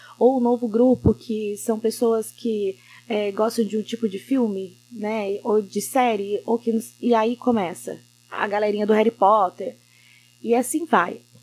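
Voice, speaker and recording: Woman at a fairly high pitch and fairly slow pace, intonation fairly even, with music in the background. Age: 30s. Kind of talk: casual chat.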